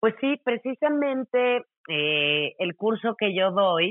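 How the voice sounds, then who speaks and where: A woman speaks at a very slow pace. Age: 40s. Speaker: yoga teacher and wellness coach. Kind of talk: interview.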